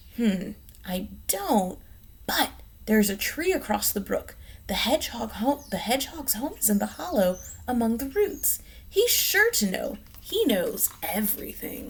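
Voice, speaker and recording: A woman puts on a character voice at a fairly high pitch. She speaks at a moderate pace. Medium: read story.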